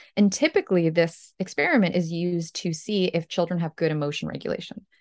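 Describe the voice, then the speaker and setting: A woman's fairly low voice in an American accent, with ordinary pitch variation, a dry, close sound with no echo, and a quiet background. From Ukraine, moved to the US as a child. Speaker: company co-founder and psychology author. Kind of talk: interview.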